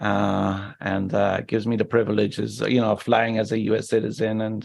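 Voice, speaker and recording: Fairly low-pitched man in an Irish accent, with fairly even intonation and a fairly quick pace. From Ireland, Cork. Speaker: injury survivor, wheelchair user. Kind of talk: interview.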